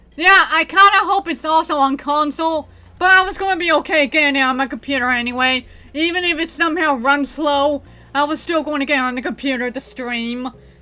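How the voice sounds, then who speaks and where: A woman's high, raised and projected voice, bright and sharp in tone, with ordinary pitch variation at a fairly quick pace. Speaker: gaming streamer. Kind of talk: casual chat. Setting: home bedroom. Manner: words blend together.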